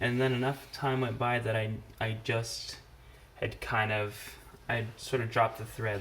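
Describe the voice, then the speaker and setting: Noticeable background noise is present. The man's pace stays moderate. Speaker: parent drawing tutorial host. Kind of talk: casual drawing tutorial chat. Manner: casual, hesitant with fillers.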